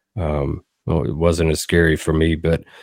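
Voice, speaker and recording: In a very clean recording with a silent background, a man with a Tennessee accent speaks at a fairly slow pace. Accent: Southern US (Tennessee). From US South, Southern Middle Tennessee. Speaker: songwriter and producer. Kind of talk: casual interview.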